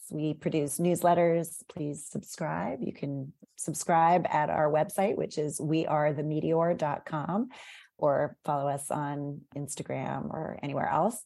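A woman's very deep, low-pitched voice in an American accent, with ordinary pitch variation and a fairly slow pace. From US, Northern Virginia (McLean). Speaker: magazine editor and media executive. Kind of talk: casual interview chat.

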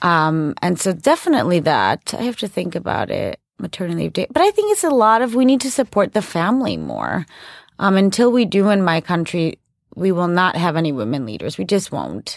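On a very clean recording with a silent background, a woman speaks in a Chicago accent. Her pace is fairly quick. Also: dry, close sound with no echo. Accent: Chicago American. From Chicago, US. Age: 30s. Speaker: podcast host and ambassador's wife. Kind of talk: interview conversation. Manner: casual, filler-heavy.

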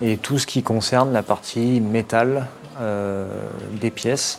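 A man's medium-pitched voice at a very slow pace, with fairly even intonation and noticeable background noise. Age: 30s. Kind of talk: workplace explanation interview.

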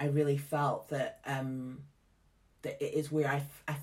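With a Scottish accent, a woman talks at a fairly slow pace in a very deep, low pitch. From Scotland. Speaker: theatre artistic director. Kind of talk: casual interview chat. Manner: animated, chatty.

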